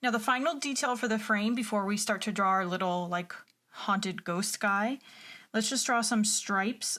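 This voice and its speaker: A woman's unremarkable speaking voice, fairly high in pitch with ordinary variation, at a fairly slow pace and very even loudness, on a very clean recording with a silent background. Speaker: art teacher. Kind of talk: drawing tutorial. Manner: encouraging, conversational.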